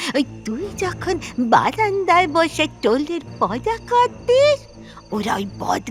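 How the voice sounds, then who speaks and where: A put-on character voice moves at a very slow pace over clear music in the background. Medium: audio drama. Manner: quavering, repetitive, emotional.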